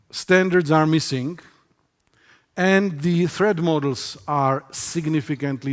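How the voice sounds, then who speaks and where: A man with a non-native accent talks at a very slow pace and a fairly high pitch, with ordinary pitch variation. The recording is very clean, with a silent background. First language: not English. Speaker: security researcher. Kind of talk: conference talk. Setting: stage with audience.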